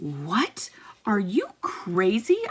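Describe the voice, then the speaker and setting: A woman uses a squeaky put-on character voice at a medium pitch. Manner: angry, fuming.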